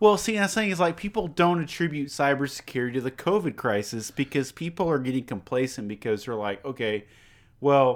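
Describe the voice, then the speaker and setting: Here a man with an American accent has an unremarkable speaking voice and lively intonation. He moves at a fairly quick pace on a very clean recording with a silent background. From Texas, Beaumont. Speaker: cybersecurity expert. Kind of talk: casual chat. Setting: home studio, drinking beer.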